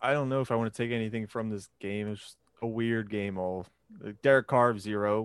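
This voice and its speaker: A man's normal speaking voice at medium pitch and a fairly quick pace, with big swings in loudness, on a very clean recording with a silent background. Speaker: fantasy football podcast co-host. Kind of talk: casual chat.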